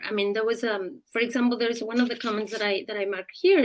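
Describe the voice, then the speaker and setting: This is a woman speaking. She has a strong Mexican accent. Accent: heavy Mexican Spanish. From Mexico. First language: Spanish. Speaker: journalist and columnist. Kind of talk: interview on live stream.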